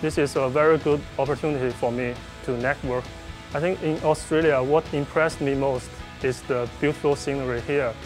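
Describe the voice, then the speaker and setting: A man with a Chinese accent speaks at a fairly quick pace in a fairly high pitch, his intonation fairly even, with music playing in the background. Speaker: nuclear engineering master's student. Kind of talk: interview answer.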